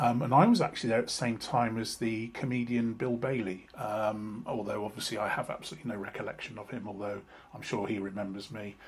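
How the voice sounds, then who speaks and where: Over noticeable background noise, a man talks at a very fast pace. His medium pitch carries fairly even intonation. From South West England (Somerset, Frome/Bath). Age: 60s. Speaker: vlogger. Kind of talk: personal vlog monologue. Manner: halting, many fillers and repetitions.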